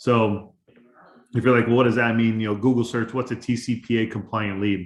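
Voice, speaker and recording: A man with a medium pitch talks at a fairly quick pace in a flat monotone. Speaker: life insurance agency owner. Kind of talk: training webinar. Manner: fast.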